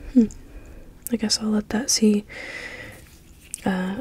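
A woman speaks in a whisper, keeping a moderate pace. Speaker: ASMR creator. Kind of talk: ASMR soft-spoken haul video, casual talk to camera. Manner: soft-spoken. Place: home room. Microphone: studio mic.

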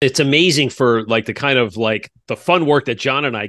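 At a very fast pace, a man talks at a medium pitch with a bright, sharp tone and ordinary pitch variation, in a dry, close sound with no echo over a quiet background. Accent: American. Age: 50s. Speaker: podcast host. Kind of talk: casual interview.

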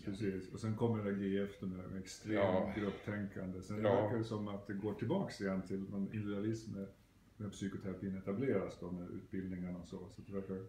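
Noticeable background noise sits behind a man who talks at a fairly quick pace in a fairly low pitch, with monotone, flat intonation. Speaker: psychotherapist. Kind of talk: interviewer questions. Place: home room.

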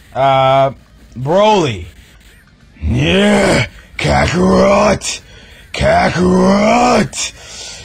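A man's put-on character voice, very slow, with long, frequent pauses. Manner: angry, shouting.

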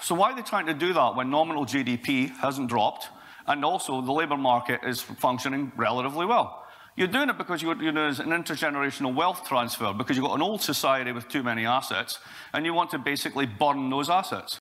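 Very fast speech comes from a man with a bright, sharp tone. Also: ordinary pitch variation. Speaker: conference speaker. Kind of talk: lecture. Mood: sarcastic, humorous. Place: hall.

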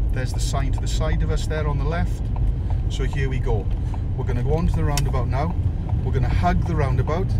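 Loud noise dominates the background. Over it, a man talks at a very fast rate. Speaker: driving instructor. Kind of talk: driving tutorial commentary. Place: car. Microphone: phone near.

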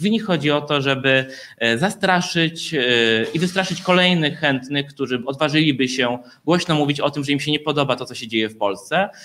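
This man has a plain, everyday voice with a fairly high pitch. His pitch varies by an ordinary amount. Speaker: LGBT activist. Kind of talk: press conference statement. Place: meeting room. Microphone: handheld.

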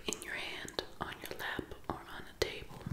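A woman is speaking. Loud background noise fills the clip. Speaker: ASMR creator. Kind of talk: ASMR whispered reading. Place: home room. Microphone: phone near.

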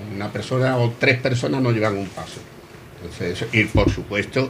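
Light background noise sits behind a man speaking at a fairly quick pace with fairly even intonation. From Cádiz, Spain. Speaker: guest, brotherhood member. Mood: earnest, explanatory. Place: bar. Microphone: handheld.

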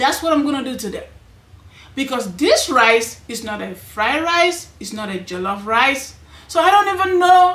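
A woman with a high pitch talks at a moderate pace. Her loudness swings widely, and the room echo is audible. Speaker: cooking channel host. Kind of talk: casual cooking vlog chat. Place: home room.

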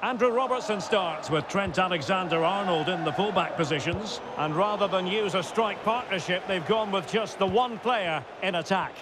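Over noticeable background noise, a man talks in a high-pitched voice. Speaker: play-by-play commentator. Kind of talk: live football commentary, play-by-play.

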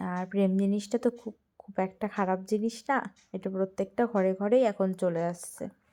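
This woman speaks at a medium pitch, her loudness swinging widely. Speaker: lifestyle vlogger. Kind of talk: casual vlog. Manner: animated.

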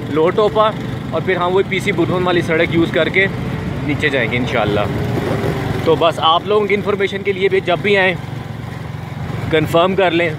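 A man talks with ordinary pitch variation amid loud background noise. The sound itself is dry, with no echo. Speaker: motorcycle travel vlogger. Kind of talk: casual vlog chat. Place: motorbike. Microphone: phone near.

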